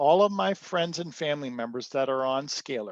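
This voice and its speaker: A man's fairly high voice at a moderate pace with ordinary pitch variation, dry and close with no echo, over a quiet background. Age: 60s. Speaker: inventor. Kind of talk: interview. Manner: halting.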